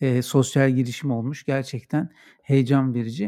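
A man speaks at a medium pitch and a fairly slow pace. His tone is dark and mellow, with a dry, close sound and no echo. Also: very clean recording, silent background. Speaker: podcast host. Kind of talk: casual interview.

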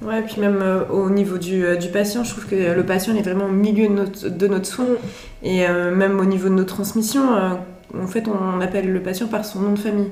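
A woman's medium-pitched, monotone, flat voice at a moderate pace, amid noticeable background noise and audible room echo. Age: 20s. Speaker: psychiatric nurse. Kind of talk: interview.

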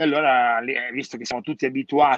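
A man's bright, sharp voice carries fairly even intonation in a dry, close sound with no echo. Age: 50s. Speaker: hairdresser business consultant. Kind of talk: casual chat.

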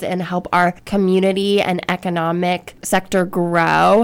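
With an American accent, a woman talks in a medium-pitched voice. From Ohio, US Midwest. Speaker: city economic development staffer. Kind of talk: radio interview.

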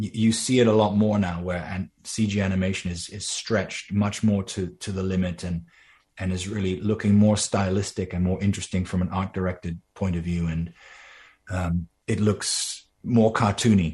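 A man speaks at a moderate pace with a very deep, low pitch and monotone, flat intonation. His voice is somewhat breathy over a quiet background. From Netherlands. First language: Dutch. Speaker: animator and voice actor. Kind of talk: interview.

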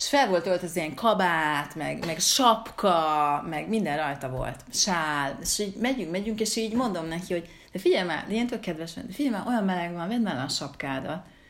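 A woman with a fairly low pitch talks at a moderate pace. Her intonation is lively, and the room echo is audible. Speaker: podcast host, writer. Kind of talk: casual chat. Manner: halting, many repeated words.

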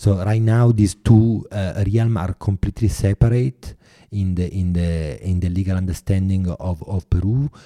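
A man speaks with a very deep, low pitch and a dark, mellow tone, his pitch varying in an ordinary way. The sound is dry and close, with no echo. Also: moderate pace, very clean recording, silent background. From Italy. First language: Italian. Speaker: artist and filmmaker. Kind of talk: interview. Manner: halting.

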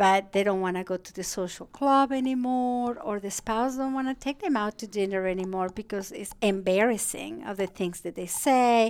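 With a Spanish accent, a woman talks at medium pitch with ordinary pitch variation and hardly any pauses. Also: moderate pace, big swings in loudness. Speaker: geriatric psychiatrist. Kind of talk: interview.

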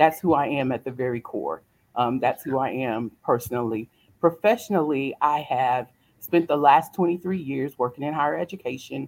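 With a Southern US accent, a woman speaks at a very deep, low pitch. Her intonation is lively and her pace moderate. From US South, South Carolina. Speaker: motivational speaker. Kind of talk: interview.

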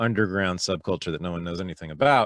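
With a Californian accent, a man speaks at a very deep, low pitch. The sound is dry and close with no echo, on a very clean recording with a silent background. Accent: General American (Californian). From US West Coast, Berkeley, California. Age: 50s. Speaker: historian and podcast host. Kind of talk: casual interview chat.

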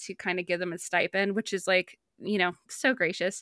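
A woman's bright, sharp voice at medium pitch, dry and close with no echo, on a very clean recording against a silent background. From US Midwest, small town on the Ohio River. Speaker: animation writer and cartoonist, podcaster. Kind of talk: casual interview chat.

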